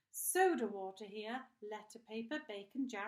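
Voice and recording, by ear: A natural voice reads the words out loud.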